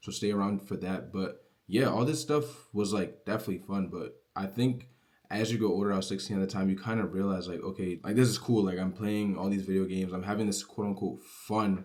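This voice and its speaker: With an ordinary speaking voice, a man talks at a fairly quick pace in a fairly low pitch, using ordinary pitch variation. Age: young. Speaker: online business creator. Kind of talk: casual motivational vlog. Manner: casual, filler-heavy.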